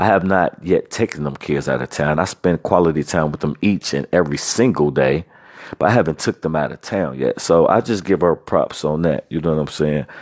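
Talking at a fairly quick pace, a man with a very deep, low pitch sounds animated, his pitch varying in an ordinary way in a dry, close recording with no echo. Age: 40s. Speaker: podcast host. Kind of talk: casual monologue.

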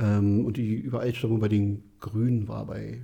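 A man talks at a moderate pace and fairly low pitch. His tone is dark and mellow, and somewhat breathy. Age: 30s. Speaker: podcast host. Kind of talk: casual chat.

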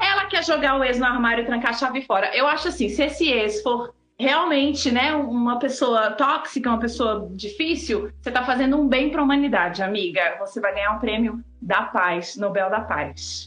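Hardly pausing, a woman with a high pitch speaks at a moderate pace, her intonation lively and her loudness very even. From Blumenau, Santa Catarina, Brazil. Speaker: artist and live show co-host. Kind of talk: casual live-stream chat. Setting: live video stream.

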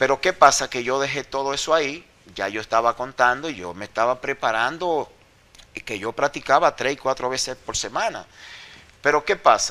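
At a moderate pace, a man with a medium pitch talks with lively intonation in a normal speaking voice. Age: 50s. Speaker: former wrestler. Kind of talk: interview.

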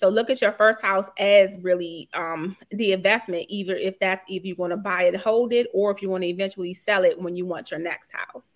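Speaking with an American accent, a woman at a medium pitch goes at a fairly quick pace with fairly even intonation and hardly any pauses. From Washington, D.C. (Petworth). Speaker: realtor. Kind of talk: interview.

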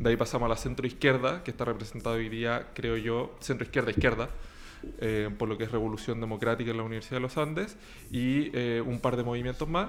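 Medium in pitch, a man talks at a very fast pace. His intonation stays fairly even. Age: 20s. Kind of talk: political talk show interview.

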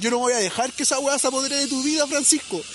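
With a Chilean accent, a man speaks very fast over noticeable background noise. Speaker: podcast co-host. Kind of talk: casual chat.

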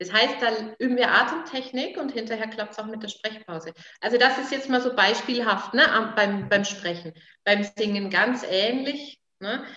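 A woman with a normal speaking voice, fairly high in pitch with ordinary pitch variation, at a moderate pace, with big swings in loudness. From Franconia, Nuremberg (Germany). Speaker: vocal coach. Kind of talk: interview. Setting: her studio.

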